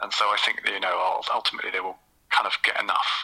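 A man talks with a Southeast English accent. His pace is very fast. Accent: South-east English. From South London and Kent, England. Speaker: football author and podcaster. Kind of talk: casual interview.

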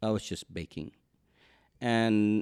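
With a dry, close sound and no echo, a man speaks at a fairly low pitch. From Cuba. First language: Spanish. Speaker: baker and entrepreneur. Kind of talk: interview. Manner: halting.

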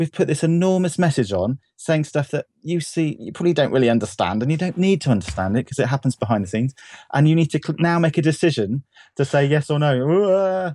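A man talks at a very fast pace with lively intonation and a fairly high pitch. His tone is dark and mellow, and the sound is dry and close with no echo. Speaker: web developer. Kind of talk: casual chat. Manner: cheerful.

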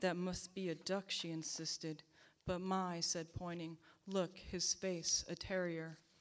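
At a fairly slow pace, a woman talks with monotone, flat intonation. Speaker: poet. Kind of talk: poetry reading. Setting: live reading at church venue.

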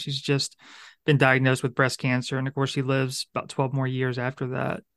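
Against a quiet background, a man with a fairly high pitch talks at a fairly quick pace. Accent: Louisiana. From Louisiana. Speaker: podcast host and center director. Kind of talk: casual interview conversation.

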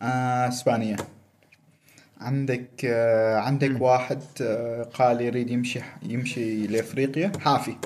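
A man talks in a plain, everyday voice. His pitch is medium and his pace fairly slow. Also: fairly even intonation. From Oman. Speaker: world traveler. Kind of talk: casual chat.

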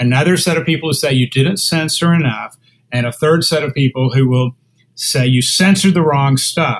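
A man with a plain, everyday voice speaks at a moderate pace and fairly high pitch, with ordinary pitch variation and very even loudness. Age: 60s. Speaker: lawyer and internet policy author. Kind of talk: interview.

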